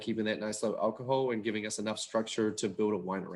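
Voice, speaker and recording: In a New Zealand accent, speech moves at a very fast pace with fairly even intonation on a very clean recording with a silent background. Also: man. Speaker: winemaker. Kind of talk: casual wine tasting talk.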